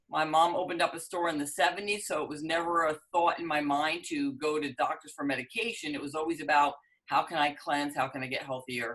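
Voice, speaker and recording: With a New York accent, a woman with a very deep, low pitch talks at a fairly quick pace. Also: ordinary pitch variation. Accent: New York area American. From New Jersey, US East Coast. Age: 60s. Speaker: business owner and dating coach. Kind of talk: interview.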